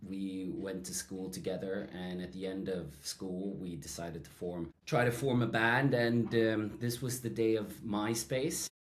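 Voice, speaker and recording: A man with a Swedish accent, fairly low in pitch, fairly slow yet with hardly any pauses, and lively in intonation. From Sweden. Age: 30s. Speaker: songwriter and music producer. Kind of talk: casual chat.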